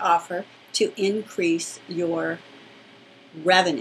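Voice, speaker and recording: A woman speaks over noticeable background noise. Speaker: business coach for therapists. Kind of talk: webinar teaching.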